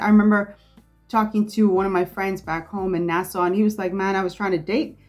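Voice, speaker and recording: Music plays in the background. A woman speaks at a fairly quick pace in a medium pitch. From Bahamas. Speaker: content creator. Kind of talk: casual talk to camera.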